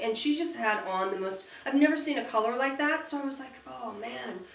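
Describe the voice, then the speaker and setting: A woman speaks in a high, animated voice at a moderate pace with very wide pitch swings. Audible room echo and noticeable background noise fill the recording. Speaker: beauty vlogger. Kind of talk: casual chat. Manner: halting.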